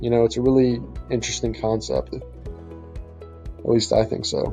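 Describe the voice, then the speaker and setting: Over music in the background, a man is speaking. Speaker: virtual tour business owner. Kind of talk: casual talk to camera.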